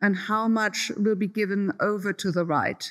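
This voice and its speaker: A woman of medium pitch with a German accent, fairly slow and fairly even in intonation, on a very clean recording with a silent background. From Germany. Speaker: professor. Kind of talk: Q&A answer. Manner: hesitant, many fillers.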